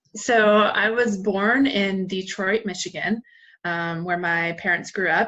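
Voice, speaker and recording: Fairly even in intonation, a woman with an American accent speaks at a very slow pace. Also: medium pitch for a woman. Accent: southern accent trained away. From US South, western North Carolina (Asheville). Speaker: marketing manager, former college basketball player. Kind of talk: interview.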